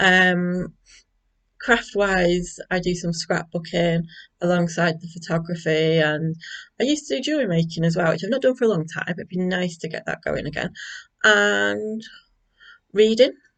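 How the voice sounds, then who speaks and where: In a Manchester accent, a woman with a fairly low pitch speaks at a moderate pace with lively intonation and long, frequent pauses. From northern England, North Manchester. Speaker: school librarian and craft vlogger. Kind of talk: casual vlog chat. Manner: hesitant, many fillers.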